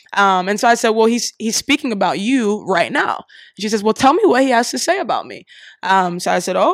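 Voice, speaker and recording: In an American accent, a woman with a plain, everyday voice speaks at a fairly quick pace and fairly high pitch, with ordinary pitch variation, on a very clean, dry, close recording with no echo and a silent background. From Columbus, Ohio. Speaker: singer-songwriter. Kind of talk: interview.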